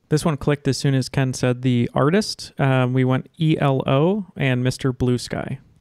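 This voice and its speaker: A man with an unremarkable speaking voice and medium pitch talks at a fairly slow pace with hardly any pauses and very even loudness, the sound dry and close with no echo on a very clean recording with a silent background. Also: ordinary pitch variation. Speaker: podcast host. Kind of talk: casual chat, trivia game. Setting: studio.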